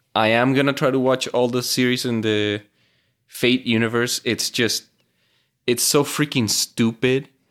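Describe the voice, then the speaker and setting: On a very clean recording with a silent background, a man with a Venezuelan accent talks at medium pitch and a moderate pace, his intonation fairly even. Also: long, frequent pauses. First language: Spanish. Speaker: mechanical engineer and podcast co-host. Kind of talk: casual chat.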